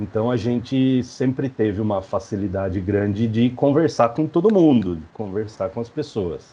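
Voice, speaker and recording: A man with a São Paulo interior accent talks at a moderate pace with hardly any pauses. His medium-pitched voice has a dark, mellow tone and lively intonation. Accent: caipira accent of inland São Paulo. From interior of São Paulo state, Brazil (Mairinque). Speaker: professor and researcher, podcaster. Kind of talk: interview. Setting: video call.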